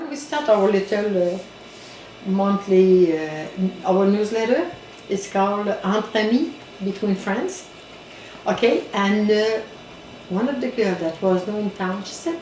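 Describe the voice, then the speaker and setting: A woman with a Quebec accent at medium pitch, fairly slow pace and ordinary pitch variation, with long, frequent pauses, audible room echo and noticeable background noise. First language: French. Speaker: community organization director. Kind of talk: interview. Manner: halting.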